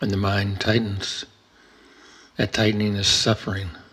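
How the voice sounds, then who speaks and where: A man talks at a fairly slow pace. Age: 70s. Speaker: retired entrepreneur. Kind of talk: reflective talk on Buddhism and aging. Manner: calm, reflective.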